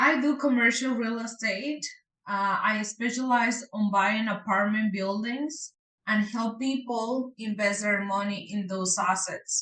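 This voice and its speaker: A woman's fairly high voice, fairly slow pace, ordinary pitch variation. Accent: strong Mexican. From Mexico. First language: Spanish. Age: young. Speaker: real estate investor. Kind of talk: interview.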